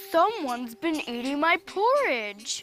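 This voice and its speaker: A put-on character voice growls at a high pitch with very wide pitch swings and a fairly slow pace. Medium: cartoon.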